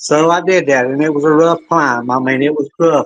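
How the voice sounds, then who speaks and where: With a Southern US accent, a man talks at a moderate pace with ordinary pitch variation. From upstate South Carolina, near Greenville. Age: 60s. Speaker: hunter. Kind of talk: storytelling interview.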